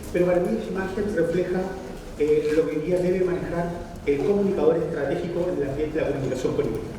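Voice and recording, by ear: At a fairly quick pace, a man speaks in a fairly high pitch, with clear background noise and audible room echo.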